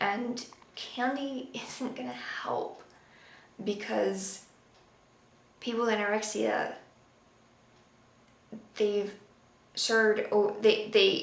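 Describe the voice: A woman at a medium pitch, very slow, with long and frequent pauses, fairly even intonation, and strong room echo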